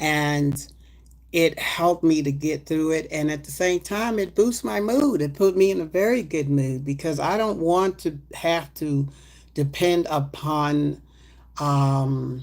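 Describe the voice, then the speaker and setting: Her voice very deep and low, a woman speaks at a fairly slow pace. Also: ordinary pitch variation. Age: 60s. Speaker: herbal supplement seller livestreamer. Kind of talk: livestream product talk. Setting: livestream. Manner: casual, with filler ums.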